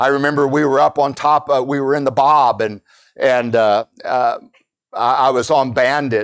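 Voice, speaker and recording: An American-accented man of medium pitch speaks at a fairly slow pace with fairly even intonation. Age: 60s. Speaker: pastor. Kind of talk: sermon. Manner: halting.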